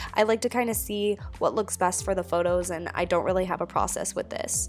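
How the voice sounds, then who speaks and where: A woman talks at a moderate speed while music sounds behind her. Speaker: lifestyle vlogger. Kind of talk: casual talk to camera. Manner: rambling.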